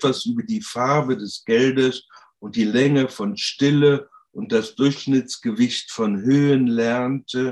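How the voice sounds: The voice reads aloud. It is a natural reading voice.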